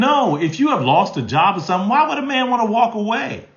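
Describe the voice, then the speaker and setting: In a room with audible echo, a man speaks at a moderate pace in an animated tone. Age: 60s. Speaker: relationship advice host. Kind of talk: live stream Q&A.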